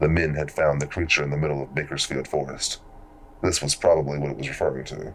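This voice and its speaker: A man rattles along at a very fast pace in a very deep, low voice, monotone and flat, over noticeable background noise. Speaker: horror story narrator. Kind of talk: horror story narration.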